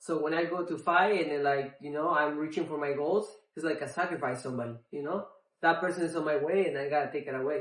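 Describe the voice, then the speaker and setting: A man with a Spanish accent, fairly high-pitched, with ordinary pitch variation and a fairly quick pace. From Mexico City, Mexico. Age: 30s. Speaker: MMA fighter. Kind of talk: interview. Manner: halting, many fillers.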